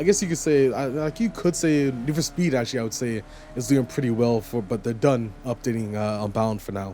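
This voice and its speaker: A man speaks in a medium pitch with lively intonation. Music plays in the background. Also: fairly quick pace. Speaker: gaming YouTuber. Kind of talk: casual video commentary. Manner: fast; animated.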